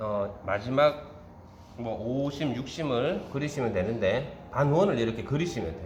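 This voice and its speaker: With a strong Gyeongsang accent, a man talks in a relaxed tone at medium pitch and a fairly slow pace, with lively intonation and audible room echo. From Gyeongsang Province, South Korea. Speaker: baking instructor. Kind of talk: tutorial. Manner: relaxed step-by-step, frequent filler 'ja'.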